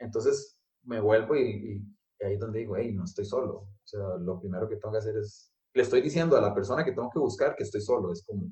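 A very fast pace with hardly any pauses, in a Costa Rican accent. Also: man. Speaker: architect. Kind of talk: casual interview. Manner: hesitant, many fillers.

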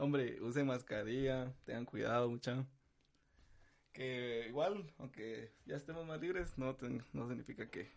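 A plain, everyday voice moves at a fairly slow pace, its pitch varying in an ordinary way. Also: man, medium pitch for a man. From Guatemala (capital, childhood in San Marcos). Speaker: musician. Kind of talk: casual chat.

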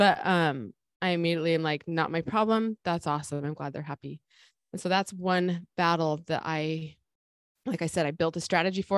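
A woman with a fairly low pitch talks at a fairly quick pace with ordinary pitch variation, a normal speaking voice, over a quiet background. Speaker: life coach podcast host. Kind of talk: casual podcast chat.

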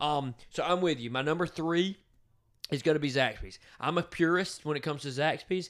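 An American accent comes through at a fairly quick pace. The tone is animated, with ordinary pitch variation. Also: man, fairly high pitch for a man, very clean recording, silent background. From US South, southwest Georgia. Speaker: podcast co-host. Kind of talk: casual chat.

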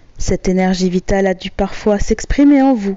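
Mid-range female voice, its pitch rising and falling in an ordinary way. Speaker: hypnotherapist. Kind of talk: guided hypnosis session. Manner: slow; soft-spoken.

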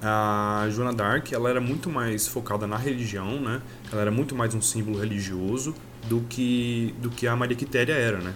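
With audible room echo around him, a man speaks at a moderate pace and medium pitch with fairly even intonation. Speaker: podcast host, teacher. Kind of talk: casual chat.

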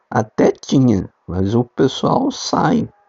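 A man's voice at a medium pitch. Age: 60s. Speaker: amateur podcaster. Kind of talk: casual monologue.

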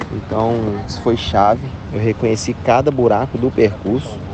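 Fairly even intonation marks this man's speech, heard over noticeable background noise. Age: 40s. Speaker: mountain bike athlete and coach. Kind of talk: voice message race report. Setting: phone voice messages. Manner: casual, with many fillers.

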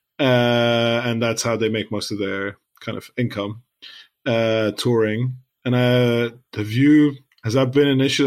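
In a Lebanese accent, the voice runs in a monotone, flat intonation on a very clean recording with a silent background. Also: man. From Lebanon. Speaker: podcast co-host. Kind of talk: casual chat.

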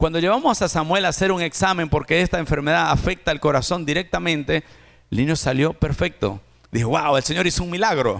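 Animated and at a fairly quick pace, a man speaks with a fairly high pitch, lively intonation and vocal fry. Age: 40s. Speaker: pastor. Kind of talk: sermon.

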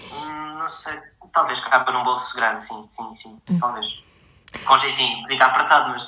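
Against noticeable background noise and audible room echo, a man talks at a medium pitch with fairly even intonation. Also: moderate pace, big swings in loudness. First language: Portuguese (speaking Spanish). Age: 30s. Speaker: software developer and assistive tech distributor. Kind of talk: interview.

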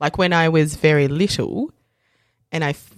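An Australian accent comes through at a moderate pace. The recording is very clean, with a silent background. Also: woman. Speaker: lawyer. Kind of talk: casual chat. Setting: studio. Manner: animated.

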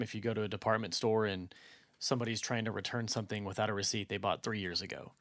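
On a very clean recording with a silent background, a man with an American accent talks at a very fast pace and a fairly low pitch. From Texas, Dallas-Fort Worth area. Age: 30s. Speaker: millennial guest. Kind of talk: casual chat. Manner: halting.

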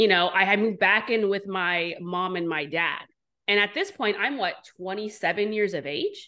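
A woman's medium-pitched voice comes across bright and sharp. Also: ordinary pitch variation, moderate pace. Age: 40s. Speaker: serial entrepreneur. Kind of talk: casual chat.

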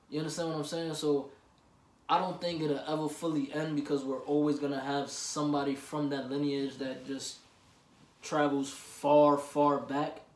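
In a room with audible echo, a man speaks at a moderate pace with a fairly high pitch and monotone, flat intonation. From US, Puerto Rican family. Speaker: podcast co-host. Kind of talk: casual chat.

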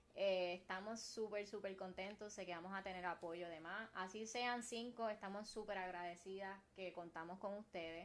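With a Puerto Rican accent, a woman speaks at a medium pitch and moderate pace in an animated tone, with hardly any pauses. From Puerto Rico, Carolina. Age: 20s. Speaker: podcast co-host. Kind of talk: casual chat. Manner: animated, laughing often.

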